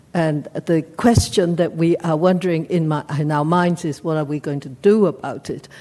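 A woman with a dark, mellow tone and fairly low pitch speaks at a moderate pace. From Hong Kong. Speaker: audience member. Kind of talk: audience question. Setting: seminar room with audience. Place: hall.

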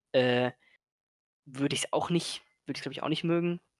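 Against a quiet background, a man talks at a very fast pace in a dry sound with no echo. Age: 20s. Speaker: gaming content creator. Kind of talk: casual interview. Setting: voice-only call, no camera. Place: home room.

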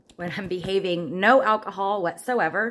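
With ordinary variation in pitch, a woman talks at a moderate speed. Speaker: vlogger. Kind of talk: casual vlog chat. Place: kitchen. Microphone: phone near.

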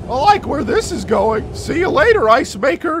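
Pitched extremely high, a man speaks at a moderate pace with very wide pitch swings. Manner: excitable, sarcastic.

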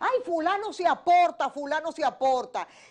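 Quiet background surrounds a woman's high-pitched voice at a fairly slow pace. Her pitch swings very widely. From Dominican Republic. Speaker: news analysis show host. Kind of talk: news analysis talk show. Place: studio.

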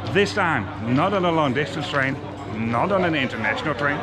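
With clear music behind him, a man is talking. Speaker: travel vlogger. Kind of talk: casual vlog chat. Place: street. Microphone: phone near.

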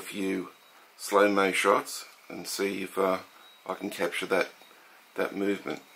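A man with an Australian accent talks at a moderate pace in a fairly low pitch. His intonation is monotone and flat, with long, frequent pauses. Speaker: hobbyist model engine collector. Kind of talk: show-and-tell video demonstration. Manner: casual, with filler words. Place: home room.

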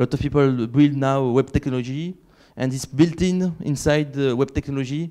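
A man with a strong French accent. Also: quiet background. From France (Catalan region). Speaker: conference keynote speaker, software developer. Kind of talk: conference keynote talk. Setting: stage with audience. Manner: halting, many fillers. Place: hall.

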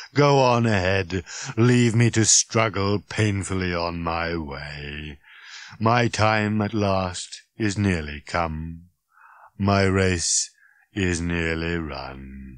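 Over a quiet background, a man puts on a raspy character voice, very deep and low in pitch, at a very slow pace.

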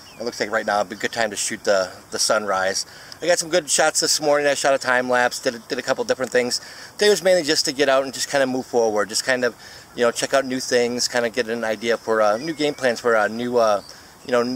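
Talking at a very fast pace, a man shows ordinary pitch variation in a dry, echo-free recording with light background noise. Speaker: photographer vlogger. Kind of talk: casual vlog chat. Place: waterside. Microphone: phone near.

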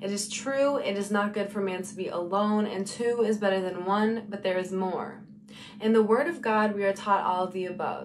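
With light background noise behind her, a woman keeps a moderate pace and fairly even intonation. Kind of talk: spoken word poetry. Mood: earnest, preaching tone. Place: home room. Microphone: phone near.

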